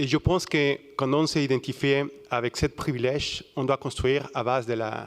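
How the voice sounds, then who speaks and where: Heard with a dry, close sound and no echo, a man with a Mexican accent talks at a moderate pace, fairly high in pitch, with fairly even intonation. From Mexico. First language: Spanish (speaking French). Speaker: audience member. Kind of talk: audience testimony. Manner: halting.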